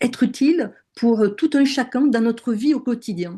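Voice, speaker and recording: Her tone is dark and mellow, with ordinary pitch variation. The woman speaks at a moderate pace against a quiet background. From southern France. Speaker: NLP and hypnosis trainer. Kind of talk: webinar conversation. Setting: online webinar. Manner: hesitant, many fillers.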